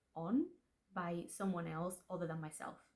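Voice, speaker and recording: A woman with a Spanish accent, at a fairly slow pace. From Spanish-speaking household. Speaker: aspiring fantasy author, vlogger. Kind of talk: casual vlog talk to camera. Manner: chatty, self-interrupting, repeats words.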